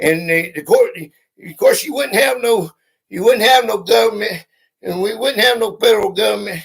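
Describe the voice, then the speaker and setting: Animated and lively in intonation, a man speaks high in pitch with a Southern US accent. His loudness swings widely. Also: moderate pace. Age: 50s. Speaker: YouTuber. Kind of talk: live stream.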